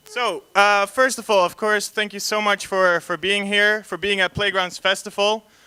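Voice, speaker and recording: The speaker has a raised, projected voice with a bright, sharp tone in a Dutch accent. Intonation is flat and monotone, at a moderate pace with hardly any pauses. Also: man, high pitch for a man. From Netherlands. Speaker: panel moderator, concept artist. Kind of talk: panel discussion introduction. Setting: stage with audience at festival, PA system. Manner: hesitant, many fillers.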